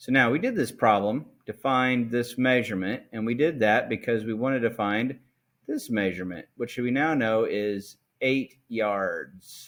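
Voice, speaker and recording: In a very clean recording with a silent background, a man talks at a fairly slow pace in an ordinary speaking voice of medium pitch with ordinary pitch variation. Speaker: math teacher. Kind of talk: tutorial.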